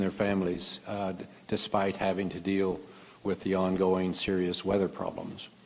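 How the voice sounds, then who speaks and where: A man with a Midwestern American accent at a moderate pace. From Kansas, US Midwest. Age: 70s. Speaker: physician and conference speaker. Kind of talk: lecture. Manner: halting, many fillers.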